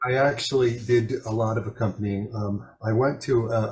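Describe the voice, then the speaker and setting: In an American accent, a man speaks at medium pitch in a somewhat breathy voice. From US Northeast, Long Island, Suffolk County. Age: 60s. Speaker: jazz pianist. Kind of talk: interview. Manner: halting, many fillers and restarts.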